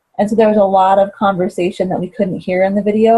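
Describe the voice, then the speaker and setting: A dark, mellow, somewhat breathy voice at a very fast pace, its intonation fairly even. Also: woman. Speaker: teacher. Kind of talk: reflection debrief conversation.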